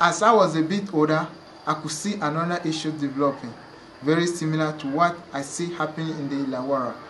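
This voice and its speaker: A man with a fairly high voice talks at a fairly quick pace with fairly even intonation, over noticeable background noise and audible room echo. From Togo, West Africa. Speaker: refugee sharing life story. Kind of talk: reading aloud personal story.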